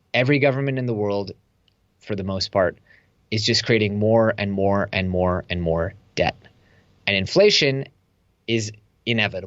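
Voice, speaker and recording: With an American accent and an ordinary speaking voice, a man talks at a moderate pace and fairly low pitch with ordinary pitch variation. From US, Silicon Valley. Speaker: entrepreneur and online course instructor. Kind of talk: interview conversation.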